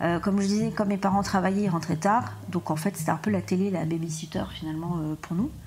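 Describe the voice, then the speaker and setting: A somewhat breathy woman's voice at a fairly quick pace, with ordinary pitch variation. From southern France (Montpellier). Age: 30s. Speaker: podcast guest. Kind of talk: personal testimony interview. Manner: halting, many hesitations.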